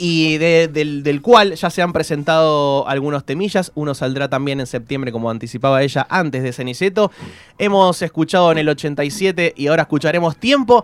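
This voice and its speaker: A man talks in a Rioplatense accent at a moderate pace. His voice is fairly high, with ordinary pitch variation. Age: 30s. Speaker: radio host. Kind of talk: casual chat.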